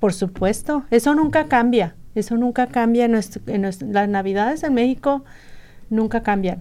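A woman speaks at a moderate pace with a fairly high pitch and a dark, mellow tone. Her intonation is lively. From Sonora, northern Mexico. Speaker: radio volunteer. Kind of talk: casual chat. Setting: studio.

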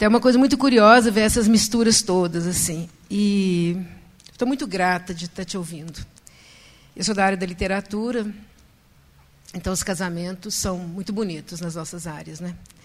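At a moderate pace, a woman speaks at a medium pitch with ordinary pitch variation, long and frequent pauses, and big swings in loudness. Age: 60s. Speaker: audience member asking a question. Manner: emotional.

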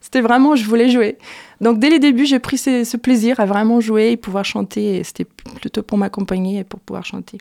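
A woman with a Portuguese accent, a fairly high pitch and a dark, mellow tone, at a moderate pace with fairly even intonation and big swings in loudness, in a dry, close sound with no echo. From Brazil. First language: Portuguese (speaking French). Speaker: singer-songwriter. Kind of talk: radio interview. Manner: halting, with repetitions.

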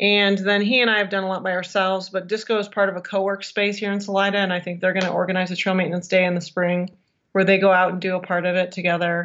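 A woman's medium-pitched, flat, monotone delivery at a very fast pace, with an American accent. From Michigan. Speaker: podcast co-host and long-distance hiker. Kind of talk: casual interview chat.

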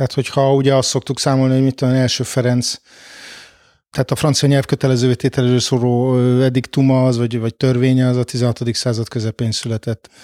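With a dark, mellow tone, a man speaks at a fairly quick pace in a monotone, flat intonation at very even loudness, on a very clean recording with a silent background and a dry, close sound with no echo. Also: medium pitch for a man. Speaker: historian. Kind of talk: interview.

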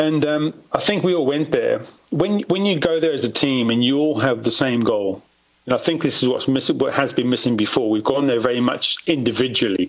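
Over noticeable background noise, a man with a fairly high pitch talks at a fairly quick pace, keeping very even loudness and ordinary pitch variation. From South Africa. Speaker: former motocross racer and stuntman. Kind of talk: casual interview.

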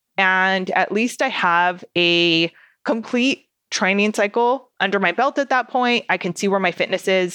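Against a quiet background with a dry, close sound and no echo, a woman speaks fairly slowly in a medium pitch with a bright, sharp tone and ordinary pitch variation. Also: very even loudness. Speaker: podcast host. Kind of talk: scripted intro then casual solo podcast talk. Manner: animated, loud; chatty, conversational.

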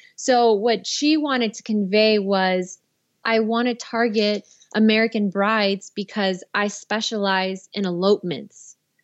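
A woman speaks with a normal speaking voice at medium pitch. Her intonation is fairly even and her pace fairly slow. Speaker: filmmaker and director. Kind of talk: casual interview.

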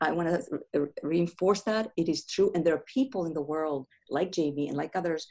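A woman's dark, mellow voice with ordinary pitch variation. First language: not English. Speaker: grief counselor and author. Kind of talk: interview conversation.

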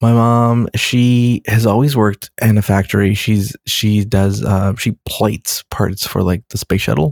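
A man with an unremarkable speaking voice and fairly low pitch, fairly even intonation, very even loudness and a fairly slow pace, on a very clean recording with a silent background. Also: hardly any pauses, dry, close sound with no echo. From Los Angeles, US. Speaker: writer and director. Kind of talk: casual chat.

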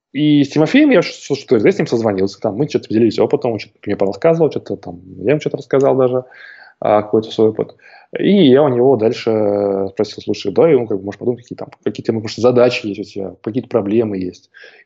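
Delivered at a very fast pace, the speech has big swings in loudness and ordinary pitch variation. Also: man, medium pitch for a man. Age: young. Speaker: online entrepreneur and course creator. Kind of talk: interview. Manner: halting, many filler sounds.

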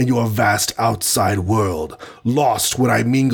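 Delivered in an unforced reading voice, the speech has ordinary pitch variation.

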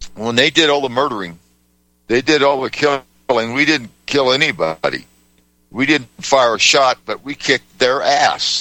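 With vocal fry at a medium pitch, a man speaks at a moderate pace and ordinary pitch variation. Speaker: radio host and navy veteran. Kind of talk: talk radio.

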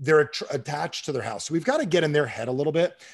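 With an American accent, a man talks in a somewhat breathy voice pitched fairly high. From New Jersey. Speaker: sales trainer and author. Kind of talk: podcast interview.

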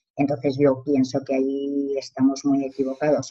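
A woman at a moderate pace. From Spain, Zaragoza. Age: 50s. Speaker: social worker. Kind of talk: casual interview chat.

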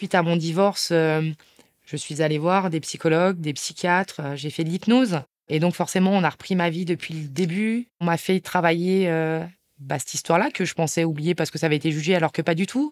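In a very clean recording with a silent background and a dry, close sound with no echo, a woman speaks at a fairly low pitch. She has an ordinary speaking voice with ordinary pitch variation and a moderate pace. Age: 40s. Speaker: abuse survivor sharing her story. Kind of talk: testimony.

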